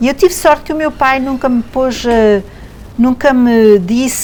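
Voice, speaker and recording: A woman talks at a fairly slow pace with ordinary pitch variation. Background noise is noticeable. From Quebec, Montreal. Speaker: theatre artist. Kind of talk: interview.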